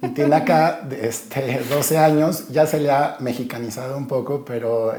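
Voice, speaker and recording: Over noticeable background noise and audible room echo, a man talks with fairly even intonation. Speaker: podcast host. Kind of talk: podcast interview.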